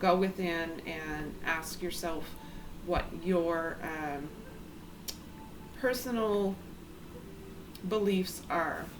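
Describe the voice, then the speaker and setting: The voice is quiet and calm in tone, with fairly even intonation. Audible room echo and noticeable background noise come through. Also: woman. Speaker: tarot reader. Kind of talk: tarot reading. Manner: quiet, low volume; calm, hesitant with filler ums.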